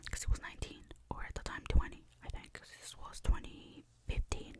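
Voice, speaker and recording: A woman whispering at a fairly quick pace. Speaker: ASMR creator. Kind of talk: ASMR storytime. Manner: whispered, soft-spoken.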